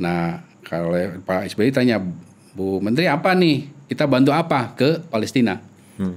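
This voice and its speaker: A man at medium pitch, moderate pace, with very wide pitch swings. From Indonesia. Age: 40s. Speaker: epidemiologist; guest. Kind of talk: interview; interview answer. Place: studio. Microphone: studio mic.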